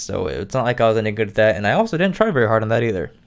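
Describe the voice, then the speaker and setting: Captured on a very clean recording with a silent background, a man speaks at medium pitch. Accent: Midwestern US. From Indiana. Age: 20s. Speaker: podcast host. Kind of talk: casual monologue. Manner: hesitant, filler-heavy.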